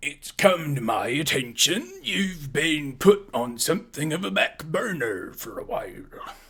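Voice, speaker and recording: Using a raspy put-on character voice, a man speaks fairly slowly at a fairly high pitch with hardly any pauses. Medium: actual play. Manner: warm, confident.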